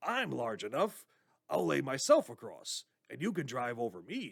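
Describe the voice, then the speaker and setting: A man puts on a raspy character voice at a moderate pace. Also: medium pitch for a man. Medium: read story.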